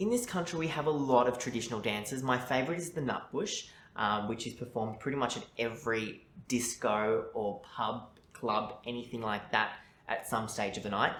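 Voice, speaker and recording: A man speaks with an Australian accent. The room echo is audible. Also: medium pitch for a man, ordinary pitch variation, moderate pace. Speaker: journalist. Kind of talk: mock speaking test interview.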